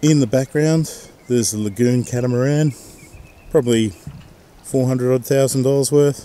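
A man at medium pitch, dark and mellow in tone, with ordinary pitch variation. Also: moderate pace.

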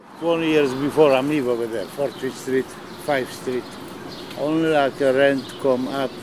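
Over noticeable background noise, a man talks at a fairly slow pace in a fairly high pitch with fairly even intonation. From Poland. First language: Polish. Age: 70s. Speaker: night-shift deli worker. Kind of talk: documentary interview answer.

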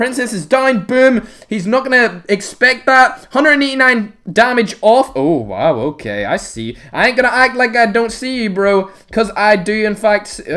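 A raised, projected voice with a bright, sharp tone at a moderate pace. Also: man. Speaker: gaming YouTuber. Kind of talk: live gameplay commentary. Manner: animated; loud.

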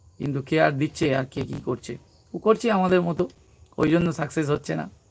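This man speaks with a West Bengal accent. His pitch is high, with ordinary variation. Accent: West Bengal Bengali. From West Bengal, South 24 Parganas. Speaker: comedy YouTuber. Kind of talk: casual live-stream chat. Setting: live stream.

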